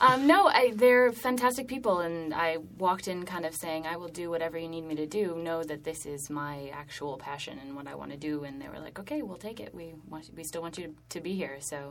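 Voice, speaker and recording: Over noticeable background noise, a woman with a fairly low pitch talks at a fairly quick pace with hardly any pauses, lively intonation and big swings in loudness. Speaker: theater director. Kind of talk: casual interview chat.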